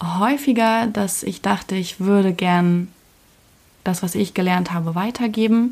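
Somewhat breathy and medium in pitch, a woman talks at a very slow pace with fairly even intonation. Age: 20s. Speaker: podcast host. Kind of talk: personal monologue. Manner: casual, with filler sounds.

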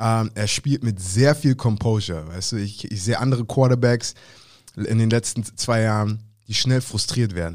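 Speaking in an animated tone at a moderate pace, a man keeps a medium pitch with ordinary pitch variation. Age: 30s. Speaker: football podcast co-host. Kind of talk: casual chat.

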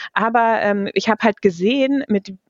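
This is an ordinary speaking voice. Its pitch moves with ordinary variation. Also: woman. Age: 40s. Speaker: head of a corporate digital innovation unit. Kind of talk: interview.

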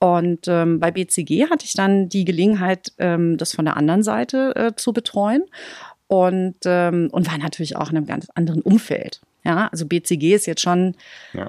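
At a moderate pace, a woman speaks with a fairly low pitch, a dark, mellow tone and ordinary pitch variation, in a dry, close sound with no echo. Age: 40s. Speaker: media and communications executive. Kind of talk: interview.

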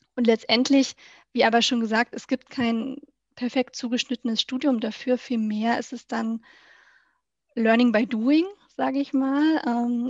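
Monotone, flat intonation at a moderate pace, with a dry, close sound with no echo and a quiet background. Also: woman. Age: 20s. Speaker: municipal organisational consultant. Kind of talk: interview.

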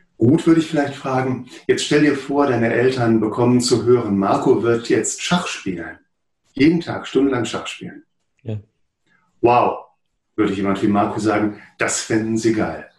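A somewhat breathy man at medium pitch, moderate pace, and ordinary pitch variation. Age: 50s. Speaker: psychotherapist and author. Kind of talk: interview.

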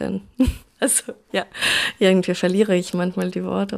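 Recorded very cleanly against a silent background, a woman talks with a Russian accent. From Russia, St. Petersburg. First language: Russian (speaking German). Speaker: artist and writer. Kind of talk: interview. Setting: at home, bedroom with dimmed light.

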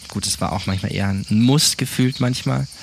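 Amid noticeable background noise, the speaker talks at a moderate pace with ordinary pitch variation. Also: man. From southern Germany, South Baden. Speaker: church planter. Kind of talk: interview testimony.

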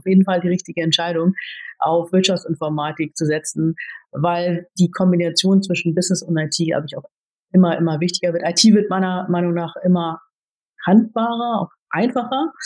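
A plain, everyday voice moves at a moderate pace with fairly even intonation, in a dry, close sound with no echo. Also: woman. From Germany. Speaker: IT executive. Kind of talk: interview.

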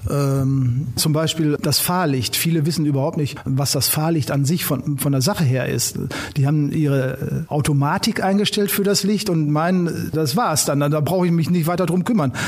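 Against noticeable background noise, a man talks at a fairly high pitch and moderate pace, with very even loudness and hardly any pauses. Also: ordinary pitch variation. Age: 60s. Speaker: police traffic safety instructor. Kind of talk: casual interview.

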